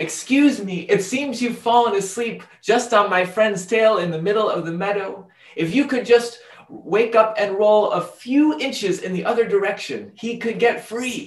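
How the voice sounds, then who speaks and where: This is a put-on character voice that sounds squeaky. It moves at a moderate pace. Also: man, high pitch for a man. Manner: polite, pleading.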